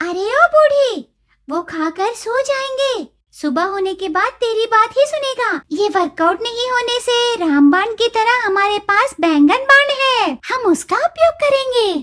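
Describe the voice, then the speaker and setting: A female-sounding, cartoonish character voice comes at an extremely high pitch. It moves at a fairly slow pace with hardly any pauses. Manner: brash, cheeky.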